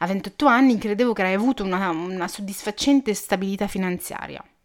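A woman with a normal speaking voice talks at a fairly quick pace and medium pitch, her intonation fairly even. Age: 20s. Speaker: podcast host. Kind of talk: personal monologue. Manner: casual, chatty.

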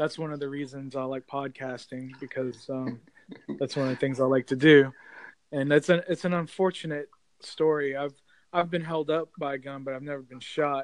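Here a man has a normal speaking voice, fairly high in pitch, at a moderate pace. His intonation is fairly even, while his loudness swings widely. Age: 40s. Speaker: amateur podcaster. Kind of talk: casual chat.

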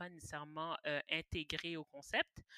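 A woman's very deep, low voice has a bright, sharp tone, recorded with a dry, close sound and no echo. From Quebec, Montreal (Pointe-aux-Trembles). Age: 20s. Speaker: podcast guest. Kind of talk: casual chat.

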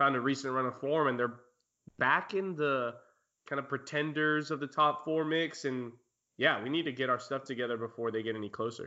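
A man with an unremarkable speaking voice talks at a fairly quick pace and medium pitch, his intonation fairly even. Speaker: podcast host. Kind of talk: casual chat.

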